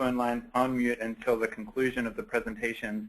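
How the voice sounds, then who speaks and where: A man with an Australian accent at medium pitch and a moderate pace. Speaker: nonprofit program lead. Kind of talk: webinar presentation. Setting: online webinar. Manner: frequent filler words.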